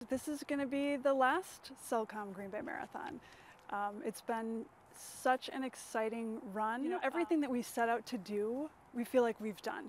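Lively intonation runs through a woman's high-pitched voice at a moderate pace. The sound is dry with no echo, with light background noise. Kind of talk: interview answer. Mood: warm, reflective. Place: street. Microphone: lapel.

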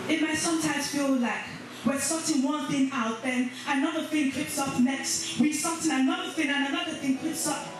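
A woman speaks at a high pitch. Strong room echo and noticeable background noise surround her voice. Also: moderate pace. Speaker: church conference speaker. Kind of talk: spoken word piece delivered to a church congregation. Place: church.

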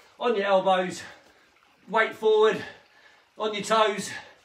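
There is audible echo in the room. A man with a high voice speaks at a moderate pace. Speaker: fitness instructor. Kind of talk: workout instruction. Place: home room. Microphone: camera far.

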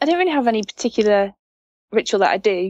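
A woman with an English accent at a very fast pace. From England. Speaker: motorcycle racer. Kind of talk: interview answer. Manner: passionate.

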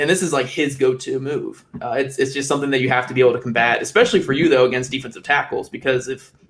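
Speaking at a fast pace, a man with a medium pitch and a fairly bright tone shows ordinary pitch variation amid audible room echo.

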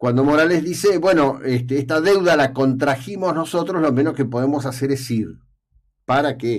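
A man's fairly high voice with an Argentine accent, ordinary pitch variation and a moderate pace against a quiet background. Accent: Rioplatense Argentine Spanish. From Argentina. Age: old. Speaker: radio host and journalist; radio host, journalist. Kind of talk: radio opinion column. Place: studio. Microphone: studio mic.

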